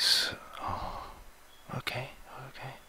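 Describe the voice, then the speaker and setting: A man speaks in a whisper. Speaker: ASMR roleplay doctor. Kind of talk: ASMR medical roleplay. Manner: soft-spoken, relaxing. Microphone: headset.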